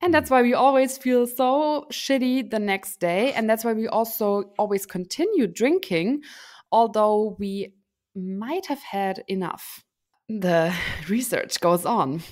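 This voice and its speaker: In a German accent, a woman speaks very slowly with lively intonation and a fairly high pitch over a quiet background. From Germany. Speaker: podcast co-host. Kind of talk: casual chat. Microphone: studio mic.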